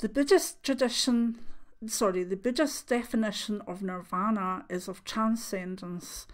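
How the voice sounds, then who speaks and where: In a very clean recording with a silent background, a woman with a Scottish accent speaks fairly slowly with ordinary pitch variation. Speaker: clairvoyant. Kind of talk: reading aloud. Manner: soft-spoken; halting.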